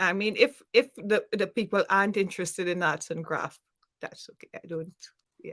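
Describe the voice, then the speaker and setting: Heard dry and close with no echo, the speaker talks at a moderate pace with a Trinidadian accent and big swings in loudness. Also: woman, medium pitch for a woman, ordinary pitch variation. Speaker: small YouTube creator, arts and crafts. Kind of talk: casual chat.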